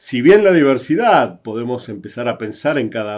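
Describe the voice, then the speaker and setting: The recording is very clean, with a silent background. A man speaks with an Argentine accent. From Argentina. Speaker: psychologist and diversity consultant. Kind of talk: interview conversation. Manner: halting.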